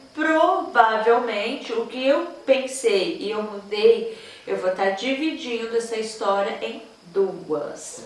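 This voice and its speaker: Over noticeable background noise and audible room echo, a woman talks in a fairly high pitch. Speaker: novelist and book vlogger. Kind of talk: casual vlog. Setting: at home.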